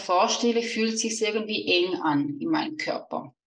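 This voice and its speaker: With a Swiss German accent, a woman speaks fairly slowly in a fairly high pitch and a bright, sharp tone. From Switzerland. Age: 30s. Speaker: money mindset coach. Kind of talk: podcast interview.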